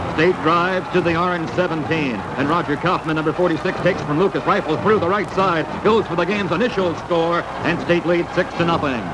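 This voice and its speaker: A man talks at a fairly quick pace with a high pitch. Loud background noise runs underneath. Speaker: newsreel sports narrator. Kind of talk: 1950s newsreel sports narration, play-by-play voiceover. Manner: brisk, clipped, authoritative newsreel cadence. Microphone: old recording.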